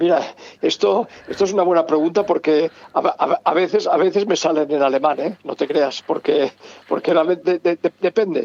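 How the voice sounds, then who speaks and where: In a Catalan accent, a man speaks at a high pitch, the sound dry and close with no echo. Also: ordinary pitch variation, moderate pace. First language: Catalan (speaking Spanish). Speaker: novelist. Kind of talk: interview. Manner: halting, many repetitions and stammers.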